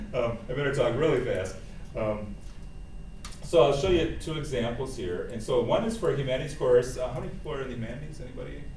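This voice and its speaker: Very fast speech from a man, amid noticeable background noise and audible room echo. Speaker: professor. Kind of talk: workshop presentation. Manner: hesitant, many fillers.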